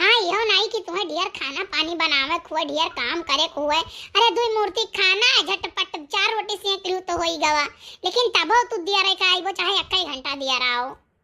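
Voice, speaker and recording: A woman's cartoonish character voice, extremely high-pitched, with lively intonation at a moderate pace. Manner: rambling, warm.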